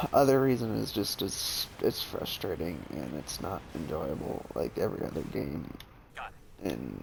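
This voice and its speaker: Quietly and at a fairly slow pace, a man talks in a very deep, low pitch with vocal fry and very wide pitch swings. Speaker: gaming streamer. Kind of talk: let's play commentary. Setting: alone at home recording. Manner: soft-spoken.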